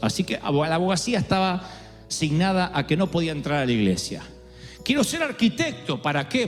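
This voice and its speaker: Music plays in the background as a man speaks at a moderate pace. His high voice makes very wide pitch swings. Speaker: preacher, pastor. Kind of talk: sermon, preaching to a congregation.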